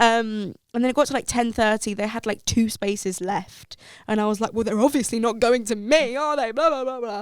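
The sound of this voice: Her pitch is fairly high and varies in an ordinary way. The woman keeps a moderate pace in a clear, smooth tone.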